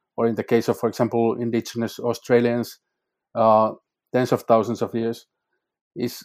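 In a Finnish accent, a man speaks at a moderate pace with monotone, flat intonation and long, frequent pauses, on a very clean recording with a silent background. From Finland, North Karelia. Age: 40s. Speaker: climate scholar. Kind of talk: interview.

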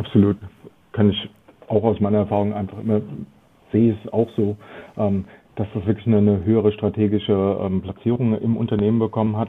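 The pace is fairly quick, yet long pauses come often. Intonation stays monotone and flat. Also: man, fairly low pitch for a man. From Germany, Frankfurt am Main. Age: 40s. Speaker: loyalty marketing consultant. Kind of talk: interview.

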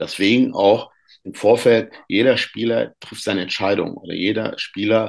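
A fairly low-pitched man at a moderate pace. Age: 50s. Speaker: youth football coach and author. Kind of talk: podcast interview. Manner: halting, many fillers.

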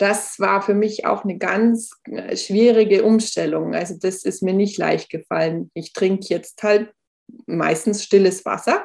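Fairly even intonation and vocal fry mark a woman's speech. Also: medium pitch for a woman, fairly slow pace. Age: 40s. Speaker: author and lipedema patient. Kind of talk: casual interview.

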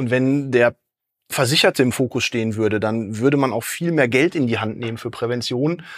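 Recorded very cleanly against a silent background, a man with an unremarkable speaking voice talks at medium pitch and a moderate pace with ordinary pitch variation. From Dortmund, Ruhr area, Germany. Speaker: health consultant, sports scientist. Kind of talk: podcast interview.

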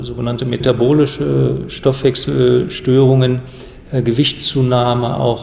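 Over noticeable background noise, a man speaks at a fairly slow pace and a medium pitch. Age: 50s. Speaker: HIV specialist physician. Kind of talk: expert interview.

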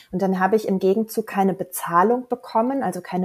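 The delivery comes at a very fast pace with ordinary pitch variation. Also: woman. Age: 40s. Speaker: life coach, former architect. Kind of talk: casual chat. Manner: animated.

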